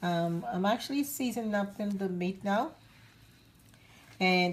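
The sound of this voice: Here a woman of medium pitch speaks at a fairly slow pace with ordinary pitch variation.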